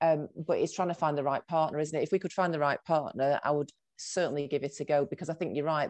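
A woman's very deep, low voice with a Mancunian accent, very fast and flat in intonation, over a quiet background. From Salford, Greater Manchester, northern England. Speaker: agency founder and CEO. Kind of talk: interview.

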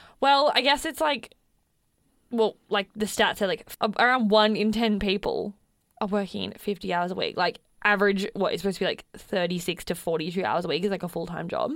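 Speaking at a fairly quick pace, a woman with an Australian accent talks at a medium pitch. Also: ordinary pitch variation. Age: 20s. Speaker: podcast host, freelancer. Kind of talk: casual chat.

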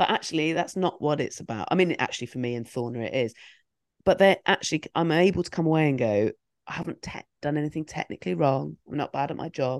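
Against a quiet background, a woman with vocal fry and a very deep, low pitch talks very fast with lively intonation, the sound dry and close with no echo. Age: 40s. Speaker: comedian. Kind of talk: casual chat. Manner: halting.

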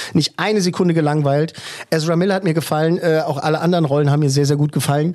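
Over noticeable background noise, a man speaks at a very fast pace in a fairly high pitch. His loudness stays very even and his intonation fairly even. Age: 40s. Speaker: film podcast host. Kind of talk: casual chat, interview.

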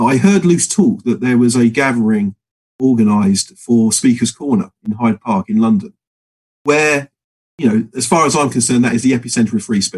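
Heard in a dry, close sound with no echo, a man speaks with an English accent. His medium pitch carries lively intonation at a moderate pace. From England. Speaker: political activist. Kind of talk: casual chat.

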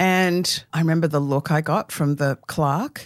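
A fairly low-pitched woman with an Australian accent, speaking at a fairly slow pace on a very clean recording with a silent background. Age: 60s. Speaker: author and cartoonist. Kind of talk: casual interview chat.

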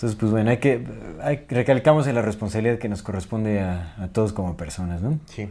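A man speaks very fast with a Mexican accent. His voice is fairly low, with a dark, mellow tone. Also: ordinary pitch variation. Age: 30s. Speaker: podcast co-host. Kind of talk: casual chat.

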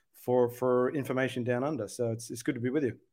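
A man with an Australian accent, medium in pitch, fairly quick and fairly even in intonation, on a very clean recording with a silent background. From Sydney, Australia. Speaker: UFO researcher and advocate. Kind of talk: podcast interview.

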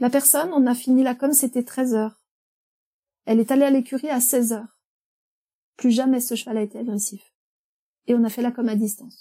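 With a dark, mellow tone and a high pitch, a woman talks at a fairly quick pace broken by long, frequent pauses. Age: 50s. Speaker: animal communicator. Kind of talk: interview. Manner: hesitant.

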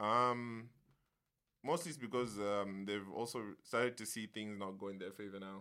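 In a plain, everyday voice, a man speaks at a moderate pace and a fairly low pitch with ordinary pitch variation. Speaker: podcast guest. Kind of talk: casual chat. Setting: studio.

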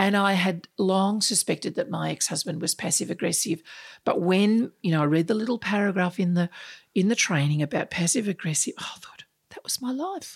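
In an Australian accent, a woman speaks at a medium pitch and a fairly quick pace. Her pitch varies in an ordinary way while her loudness swings widely. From Australia, Sydney. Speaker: unconscious bias speaker and author. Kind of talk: interview. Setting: in person across a table.

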